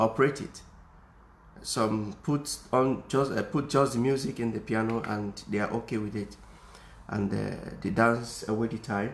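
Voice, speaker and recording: The voice carries a non-native accent, fairly even intonation and vocal fry. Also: man. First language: not English. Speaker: music teacher. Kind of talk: tutorial. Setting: Facebook live video at home. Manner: halting, many fillers.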